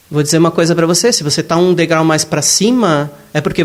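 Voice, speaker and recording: This man's voice sits high in pitch and moves at a fairly quick pace. His pitch varies in an ordinary way. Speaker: spiritist lecturer. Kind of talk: lecture.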